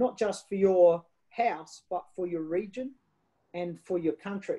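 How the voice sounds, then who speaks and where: A woman's medium-pitched voice with an Australian accent, dark and mellow in tone, with ordinary pitch variation and a fairly slow pace, over a quiet background. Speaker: wine ambassador and storyteller; storyteller. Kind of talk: interview answer. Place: home room. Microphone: video call.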